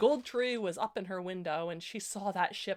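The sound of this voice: It's an unforced reading voice.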